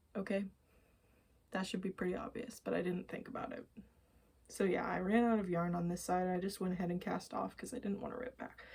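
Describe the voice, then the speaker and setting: A woman speaks at a fairly quick pace at a medium pitch, her somewhat breathy voice dark and mellow in tone with fairly even intonation. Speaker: knitting and crochet podcaster. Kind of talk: casual show-and-tell vlog.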